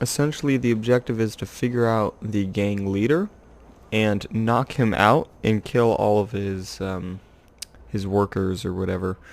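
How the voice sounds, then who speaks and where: A quiet man's voice, fairly low in pitch, at a fairly slow pace. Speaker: gamer. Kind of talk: gameplay commentary. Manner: quiet, monotone.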